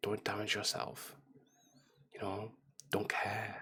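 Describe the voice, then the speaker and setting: Whispering in a gentle tone. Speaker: ASMR creator. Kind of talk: soft-spoken ASMR ramble to camera; casual personal talk to camera. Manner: soft-spoken, gentle.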